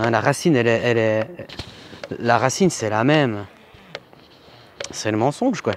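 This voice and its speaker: Long pauses come often in this moderately paced speech, whose pitch varies in an ordinary way. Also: man, medium pitch for a man. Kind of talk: casual chat. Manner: halting.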